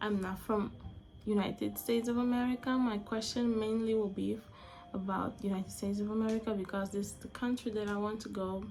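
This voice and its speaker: At a moderate pace, a woman talks with an Angolan accent. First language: Portuguese. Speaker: vlogger. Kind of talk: casual monologue vlog. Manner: halting, with frequent self-corrections.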